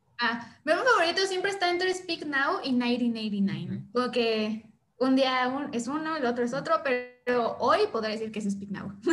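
A woman's high-pitched voice with very wide pitch swings, delivered at a fairly slow pace amid audible room echo. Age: 20s. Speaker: film student and content creator. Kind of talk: casual chat.

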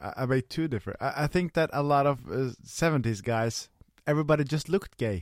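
In a very clean recording with a silent background and a dry, close sound with no echo, a man with a plain, everyday voice speaks at a fairly quick pace in a fairly high pitch with ordinary pitch variation. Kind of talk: casual comedic banter.

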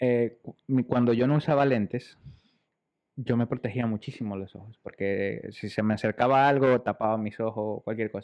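A man talks at a moderate pace in a plain, everyday voice. His pitch is medium and his intonation fairly even. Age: 30s. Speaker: podcast co-host. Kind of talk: casual chat.

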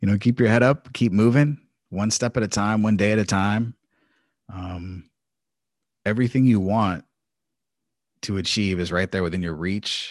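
A man's fairly low voice at a moderate pace with ordinary pitch variation and long, frequent pauses, in a dry, close sound with no echo against a quiet background. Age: 40s. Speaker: podcast host. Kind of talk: solo podcast monologue. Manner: casual, hesitant with fillers.

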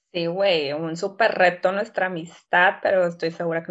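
A woman speaks in an unremarkable speaking voice with a fairly low pitch. The background is quiet. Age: 20s. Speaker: podcast co-host. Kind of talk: casual chat.

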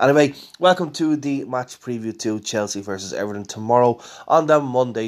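A man with an Irish accent talks at a moderate pace. His pitch varies in an ordinary way, on a very clean recording with a silent background. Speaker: football podcast host. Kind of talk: casual match preview podcast. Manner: conversational with fillers.

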